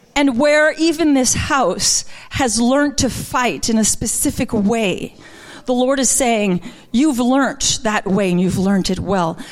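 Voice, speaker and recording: A woman talks at a fairly slow pace in a high pitch, her intonation lively. Her loudness stays very even. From Quebec. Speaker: minister. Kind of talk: sermon. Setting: church.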